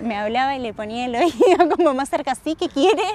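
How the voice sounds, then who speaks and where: An ordinary speaking voice with lively intonation at a moderate pace. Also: woman. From Argentina, Rosario (born in Salta). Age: 20s. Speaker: traveller, tour boat host. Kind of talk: casual interview. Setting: outdoors.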